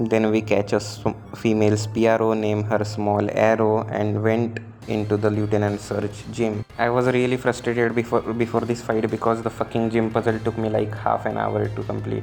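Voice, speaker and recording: Over music in the background, a man speaks at a moderate pace in a fairly low pitch with monotone, flat intonation. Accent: non-native. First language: not English. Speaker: gaming YouTuber. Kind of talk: gameplay commentary narration. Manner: casual, self-correcting with stumbles.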